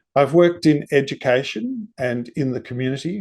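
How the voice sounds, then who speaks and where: A man with an Australian accent speaks at a moderate pace with lively intonation in a very clean recording with a silent background. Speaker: composer and conductor. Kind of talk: lecture. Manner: formal.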